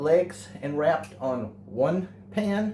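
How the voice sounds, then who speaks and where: This voice has an American accent and very wide pitch swings, with music playing in the background. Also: man. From Texas. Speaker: home cook, channel owner. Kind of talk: cooking tutorial. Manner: casual, hesitant with fillers.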